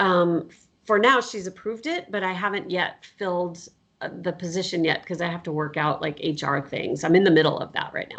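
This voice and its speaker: A woman with an American accent speaks in a normal speaking voice at a fairly low pitch and a fairly quick pace, with ordinary pitch variation. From US Southwest. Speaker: professor. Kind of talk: casual interview chat.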